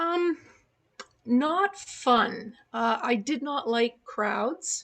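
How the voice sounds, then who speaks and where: A woman speaks very slowly in a high voice. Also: lively intonation. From Canada, Montreal. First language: German. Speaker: author and entrepreneur. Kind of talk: interview. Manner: hesitant, many fillers.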